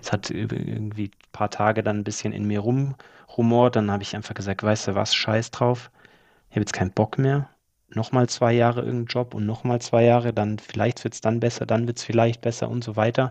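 Against a quiet background, a man speaks with monotone, flat intonation. His loudness swings widely. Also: medium pitch for a man, fairly quick pace. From Germany, Allgäu (Bavarian Swabia). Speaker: property flipper. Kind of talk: interview.

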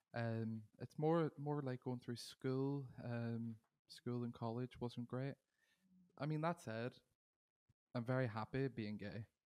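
With a Northern Irish accent, a man speaks fairly slowly in a dry, close sound with no echo. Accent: Derry Northern Irish. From Northern Ireland, Derry. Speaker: singer-songwriter. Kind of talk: interview.

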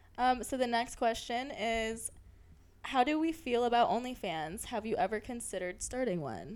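Here a woman with a fairly high pitch speaks with lively intonation. She keeps a moderate pace. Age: 20s. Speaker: podcast co-host. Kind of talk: casual chat. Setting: hotel room. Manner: animated.

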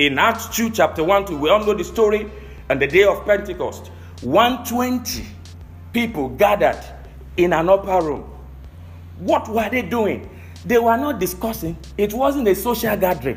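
Speaking at a moderate pace with long, frequent pauses, a man with a high-pitched voice uses an animated tone and lively intonation. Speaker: pastor. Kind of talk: sermon. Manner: animated, preaching, rhetorical questions.

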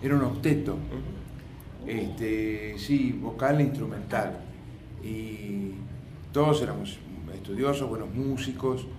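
Through noticeable background noise and audible room echo, a man of medium pitch speaks very slowly with lively intonation. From Argentina, La Plata. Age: 60s. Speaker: musician. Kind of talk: interview. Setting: auditorium. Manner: halting.

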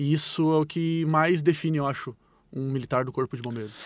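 A man's normal speaking voice, fairly high in pitch, with fairly even intonation and a fairly quick pace, on a very clean recording with a silent background. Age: 30s. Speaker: firefighter. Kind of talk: interview answers.

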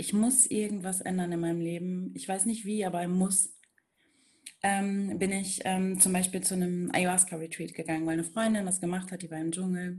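A woman's medium-pitched, somewhat breathy voice with a dark, mellow tone, fairly even intonation and a moderate pace. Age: 30s. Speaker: spiritual coach. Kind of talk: interview.

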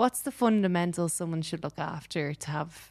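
On a very clean recording with a silent background, a woman speaks in an Irish accent. Her pitch is fairly low and her pace moderate. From Ireland. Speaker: podcast host. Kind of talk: casual chat. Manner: animated.

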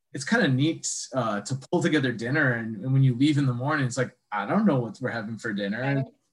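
Speaking very fast with an Upper Midwest accent, a man has a medium-pitched, somewhat breathy voice. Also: ordinary pitch variation. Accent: Upper Midwest American. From Wisconsin, Sheboygan. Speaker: foraging instructor. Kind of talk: casual interview chat.

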